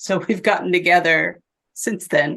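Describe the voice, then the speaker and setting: Speaking with an American accent, a woman has a fairly low pitch and vocal fry. Her pace is fairly slow. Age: 70s. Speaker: physician and abuse survivor. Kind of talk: interview testimony. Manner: halting.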